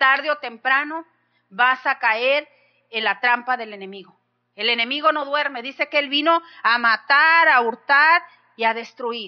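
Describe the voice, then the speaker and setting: A woman speaks in a high pitch with an animated, passionate tone, ordinary pitch variation, and a fairly slow pace. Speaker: pastor. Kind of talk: sermon, preached with fervent exhortation. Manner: animated, passionate, rhetorical questions to the congregation.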